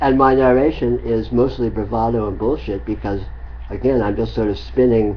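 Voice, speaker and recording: Audible room echo fills the clip. A man talks at a moderate pace. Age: 60s. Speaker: spiritual teacher. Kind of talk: spiritual dialogue. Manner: halting.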